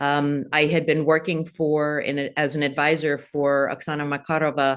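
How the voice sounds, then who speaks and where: In an American accent, a woman speaks with a very deep, low pitch. The background is quiet. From United States. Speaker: venture capital investor. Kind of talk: interview.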